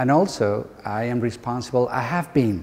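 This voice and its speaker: A man speaks at medium pitch with an Andalusian accent. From Andalusia, Spain (Córdoba). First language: Spanish. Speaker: university lecturer, bilingual education trainer. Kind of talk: workshop talk. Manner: halting.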